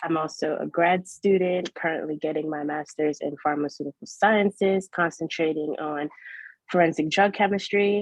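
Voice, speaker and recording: An unremarkable speaking voice from a woman with an American accent, fairly low in pitch, with fairly even intonation at a moderate pace. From New York, Brooklyn. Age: 20s. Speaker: chemist. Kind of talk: casual chat.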